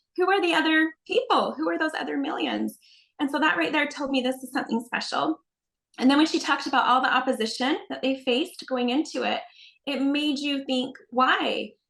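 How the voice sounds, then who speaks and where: A woman with a Utah accent speaks at a fairly quick pace in a high-pitched voice with lively intonation. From Utah, Salt Lake County. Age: 40s. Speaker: religious video creator. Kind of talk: interview.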